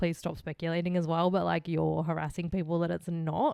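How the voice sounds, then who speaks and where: A woman with an Australian accent speaks at a fairly quick pace in a fairly low pitch, recorded very cleanly with a silent background and a dry, close sound with no echo. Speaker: true crime podcast co-host. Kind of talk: casual chat.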